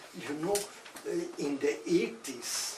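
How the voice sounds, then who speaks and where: A man at a very slow pace, with ordinary pitch variation, over noticeable background noise. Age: 80s+. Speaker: architect. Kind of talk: lecture. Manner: hesitant, halting.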